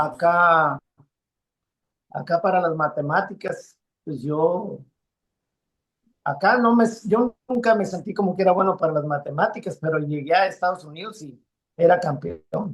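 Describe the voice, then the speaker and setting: A man's high pitch with ordinary pitch variation, a fairly slow pace and long, frequent pauses. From Mexico, Sinaloa and Mexicali valley. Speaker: musician. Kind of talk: interview. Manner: halting.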